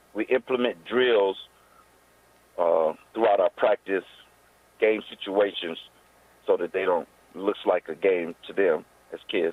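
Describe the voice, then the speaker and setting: The speaker is a man with an American accent. He keeps a moderate pace. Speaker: youth football coach. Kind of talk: interview. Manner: loud.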